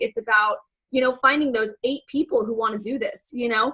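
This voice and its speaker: A woman talks at a fairly quick pace in a raised, projected voice that is high-pitched with a bright, sharp tone. Her pitch variation is ordinary. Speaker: fitness coach presenting a conference recap. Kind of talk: team conference call recap. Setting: group call.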